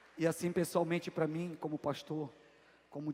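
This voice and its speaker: A man with a high voice speaks in a dark, mellow tone. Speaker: pastor. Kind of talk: sermon.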